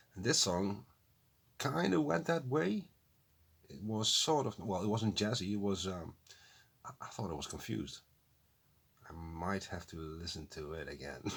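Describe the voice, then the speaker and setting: A man with a non-native accent speaks at a moderate pace in a very deep, low voice, leaving long, frequent pauses. His pitch swings very widely and his loudness rises and falls sharply. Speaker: music reaction youtuber. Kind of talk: casual reaction commentary. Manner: halting, self-correcting.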